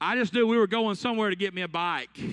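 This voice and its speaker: In an Alabama accent, a man raises and projects a high, bright, sharp voice with an animated tone against a quiet background. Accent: Southern US (Alabama). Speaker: youth conference speaker. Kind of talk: sermon. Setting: stage with audience. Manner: animated, storytelling.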